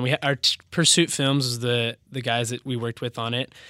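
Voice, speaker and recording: The man's tone is bright and sharp, at a medium pitch. He moves at a fairly quick pace, and the sound is dry and close with no echo. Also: very clean recording, silent background. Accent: West Coast. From Washington State, Bellevue. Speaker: business founder. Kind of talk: interview.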